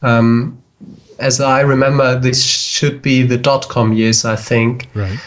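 This man has a medium-pitched voice and talks in a German accent. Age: 30s. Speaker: psychologist. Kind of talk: casual chat. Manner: halting.

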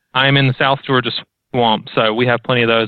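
A man's medium-pitched voice, fairly even intonation, very fast pace. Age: 20s. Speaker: weight loss guest. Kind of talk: casual chat.

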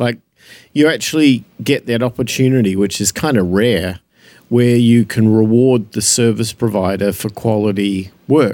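A man's dark, mellow voice in an Australian accent, with ordinary pitch variation, on a very clean recording with a silent background. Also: medium pitch for a man, fairly slow pace. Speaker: podcast co-host. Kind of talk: casual chat.

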